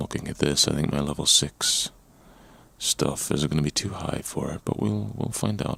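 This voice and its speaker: Over noticeable background noise, a man with a very deep, low pitch talks at a moderate pace in a relaxed tone. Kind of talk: ASMR gameplay commentary, casual talk. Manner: relaxed, conversational.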